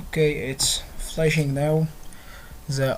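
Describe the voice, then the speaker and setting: Speech comes at a fairly unhurried rate from someone with a non-native accent. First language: not English. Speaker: tech tutorial youtuber. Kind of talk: tutorial. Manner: halting.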